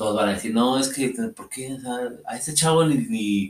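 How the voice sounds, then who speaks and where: A man is speaking. His pace is fairly slow. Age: 30s. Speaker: podcast co-host. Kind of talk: casual chat. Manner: halting.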